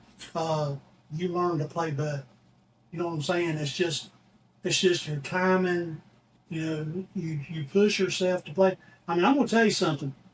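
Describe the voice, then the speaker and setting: A man with a Southern US accent and a high pitch speaks with fairly even intonation and long, frequent pauses. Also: moderate pace. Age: 60s. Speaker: musician. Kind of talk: casual chat. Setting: studio. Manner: halting.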